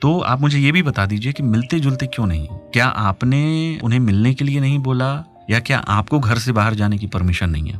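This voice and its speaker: With music playing behind, the speaker keeps a moderate pace, lively intonation and hardly any pauses. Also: man, medium pitch for a man. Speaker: radio host. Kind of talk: radio call-in advice show. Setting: studio.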